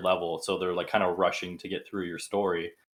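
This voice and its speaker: The speaker is soft-spoken. The intonation stays monotone and flat. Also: man. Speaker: tabletop game player. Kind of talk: casual chat.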